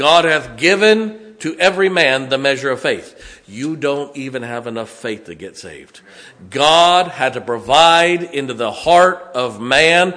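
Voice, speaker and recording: A man speaks with a fairly high pitch and lively intonation at a fairly slow pace. His loudness swings widely, and the room echo is audible. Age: 50s. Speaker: pastor. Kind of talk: sermon. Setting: church.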